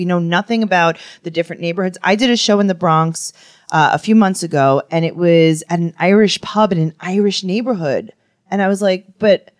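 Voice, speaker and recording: A woman speaks with a New York accent at a medium pitch and a moderate pace. Her pitch variation is ordinary, and the sound is dry and close with no echo. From Queens, New York. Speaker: podcast co-host and comedian. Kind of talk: casual comedic chat.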